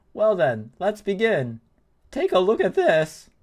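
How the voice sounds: A man puts on a character voice, pitched high for a man. He speaks fairly slowly, and his pitch swings very widely.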